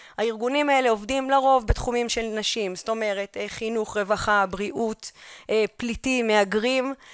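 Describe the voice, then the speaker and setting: Against a quiet background, a woman with a fairly high pitch speaks at a moderate pace with ordinary pitch variation, the sound dry with no echo. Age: young. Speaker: history teacher and researcher; history teacher. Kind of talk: conference lecture. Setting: conference hall. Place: hall.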